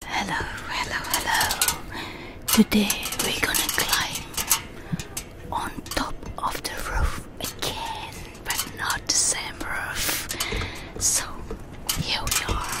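Over loud background noise, a woman talks very slowly with long, frequent pauses, the sound dry with no echo. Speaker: ASMR creator. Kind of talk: casual ASMR talk to camera. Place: garden. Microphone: handheld.

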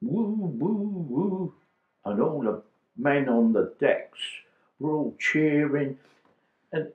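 A man speaks at a very slow pace in a fairly high pitch. Audible room echo surrounds his voice. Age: 80s+. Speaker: war veteran. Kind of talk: interview answer. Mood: moved, reminiscing. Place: home room.

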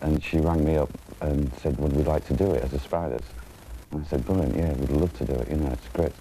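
Very fast speech with fairly even intonation and music in the background. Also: man. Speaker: interviewee. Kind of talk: interview answer. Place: hall.

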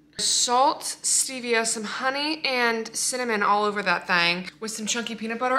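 Her pitch rises and falls in an ordinary way. The woman keeps a moderate pace. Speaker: fitness vlogger. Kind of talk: casual vlog chat. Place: kitchen. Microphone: phone near.

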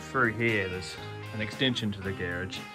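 A man speaks over clear music in the background. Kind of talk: casual vlog chat. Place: garage. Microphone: phone near.

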